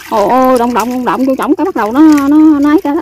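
At a fast pace, a woman speaks with a high pitch, ordinary pitch variation and a slightly mellow tone, the sound dry and close with no echo.

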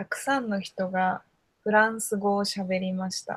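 A somewhat breathy woman's voice at a fairly slow pace, with fairly even intonation and a quiet background. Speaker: Japanese conversation tutor. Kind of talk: casual conversation for learners. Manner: slow, simple words. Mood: cheerful, smiling, laughing. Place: home room. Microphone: video call.

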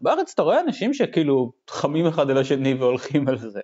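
A plain, everyday voice from a man, fairly high in pitch, at a fairly quick pace. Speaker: expat software developer. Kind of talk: casual chat.

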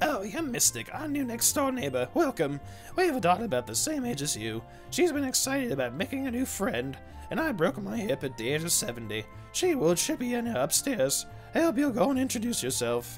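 Clear music plays in the background as a man talks in a put-on character voice. His pitch is high and his pace fairly quick.

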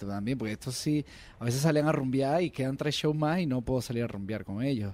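A man with a Venezuelan accent speaks at a medium pitch. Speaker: singer. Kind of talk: casual chat.

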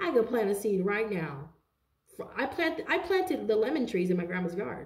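A woman speaks at a fairly quick pace in an animated tone, her pitch swinging very widely, with audible room echo over a quiet background. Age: 30s. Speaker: tarot card reader. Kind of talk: tarot reading monologue. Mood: animated, indignant. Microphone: phone near.

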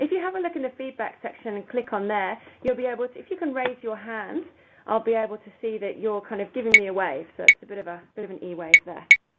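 A woman talks at a very fast pace. Loud background noise runs underneath. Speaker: educator presenting a webinar. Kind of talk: webinar presentation.

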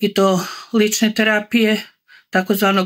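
A woman speaks at a fairly high pitch in a monotone, flat intonation. The background is quiet. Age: 60s. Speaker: customer giving a product testimonial. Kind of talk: testimonial talk to camera. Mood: calm, satisfied. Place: home room. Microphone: phone near.

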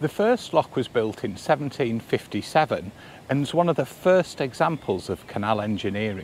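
Delivered at a moderate pace, the voice has a slightly mellow tone and lively intonation. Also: man, medium pitch for a man.

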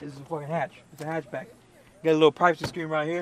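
A man at a very fast pace, dry sound with no echo, noticeable background noise behind him. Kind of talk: casual vlog chat. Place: street.

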